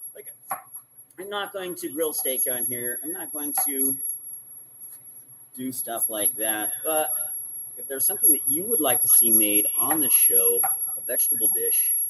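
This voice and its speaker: Leaving long, frequent pauses, the man moves through his words at a fairly slow pace. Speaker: cooking show host. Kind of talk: live cooking demonstration. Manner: casual, with filler words.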